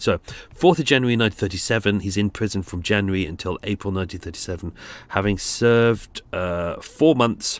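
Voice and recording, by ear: A man at a fairly low pitch, fairly quick pace with few pauses, and ordinary pitch variation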